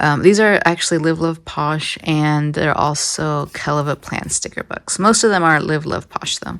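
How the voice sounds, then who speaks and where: With an American accent, the speech unfolds at a fairly slow pace. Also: woman. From San Diego, California. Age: 20s. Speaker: biologist. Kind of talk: casual studio tour talk.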